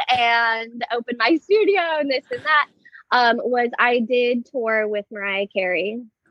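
A woman talks at a very slow pace. Her high-pitched voice has lively intonation. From Southern California (Moorpark). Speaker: dance studio owner. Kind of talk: interview.

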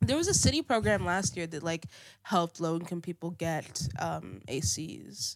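A woman speaks at a moderate pace in an animated tone, on a very clean recording with a silent background. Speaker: podcast interviewer. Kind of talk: casual interview. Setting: studio. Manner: animated, laughs often.

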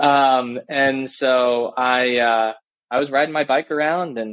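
A man speaks in a normal speaking voice at medium pitch. His intonation is fairly even. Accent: American. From US South, Florida. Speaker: startup CEO. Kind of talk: interview.

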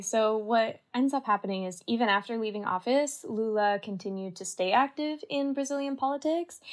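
A woman with a Canadian accent in a plain, everyday voice, fairly high-pitched and lively in intonation, talking at a fairly quick pace with hardly any pauses. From Canada. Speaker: university student. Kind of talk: podcast discussion.

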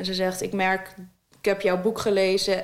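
Her pitch sits in the middle range for a woman. She speaks at a moderate pace with monotone, flat intonation. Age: 20s. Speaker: author with diabetes. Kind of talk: interview. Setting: her own studio.

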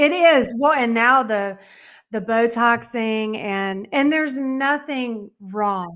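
Very slow, fairly high-pitched female speech with ordinary pitch variation. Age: 50s. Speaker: author and registered dietitian. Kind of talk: interview. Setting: video call.

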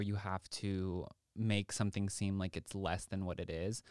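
On a very clean recording with a silent background, a man with an American accent and fairly low pitch speaks in a plain, everyday voice. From Texas, Austin. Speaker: podcast host. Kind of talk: casual chat.

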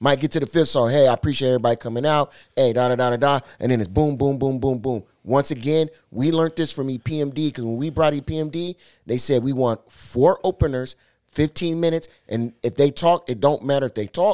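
A man with a fairly high voice and a plain, everyday voice talks at a fairly quick pace with ordinary pitch variation, in a very clean recording with a silent background and a dry, close sound with no echo. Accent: American. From Seattle. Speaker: DJ. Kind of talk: casual chat.

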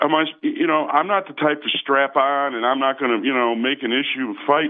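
Fairly high in pitch, a man speaks at a fairly quick pace in a normal speaking voice with ordinary pitch variation. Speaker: caller. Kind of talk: call-in conversation, storytelling. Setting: phone call.

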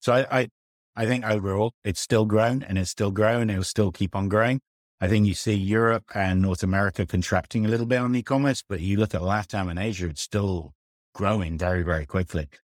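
A man with a British accent speaks at a fairly quick pace in a fairly low pitch, with ordinary pitch variation, on a very clean recording with a silent background. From UK. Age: 40s. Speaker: fintech founder and CEO. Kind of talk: interview.

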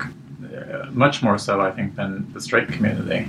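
Fairly slow, lively intonation against noticeable background noise. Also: man. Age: 30s. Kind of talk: interview.

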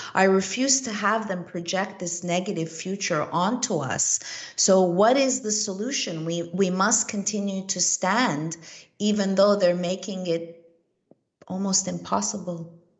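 At a fairly slow pace, a woman speaks in a somewhat breathy, medium-pitched voice with ordinary pitch variation. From Montreal, Canada. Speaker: investigative journalist and filmmaker. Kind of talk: casual chat.

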